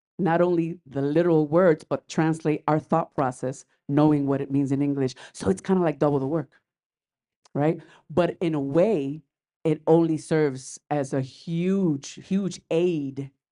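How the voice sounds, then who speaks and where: In a dry, close recording with no echo, a woman speaks in a very deep, low voice with a dark, mellow tone and fairly even intonation. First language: Spanish. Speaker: theatre practitioner. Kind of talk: panel discussion. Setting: library roundtable with audience.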